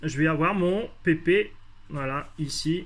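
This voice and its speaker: A man's voice is high in pitch with ordinary pitch variation. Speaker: hydroponics hobbyist youtuber. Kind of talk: casual tutorial. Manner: halting, many hesitations.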